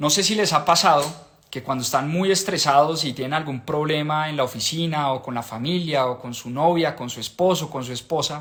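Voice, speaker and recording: A man with a fairly high pitch talks at a moderate pace in an animated tone, with hardly any pauses, ordinary pitch variation and big swings in loudness. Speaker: book club host. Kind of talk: live stream book discussion. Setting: live stream.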